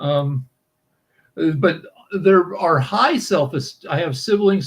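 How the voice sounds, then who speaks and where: A man is speaking. His pace is fairly slow. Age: 60s. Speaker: co-host of a Q&A chat show. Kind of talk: casual chat. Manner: halting, many fillers and restarts.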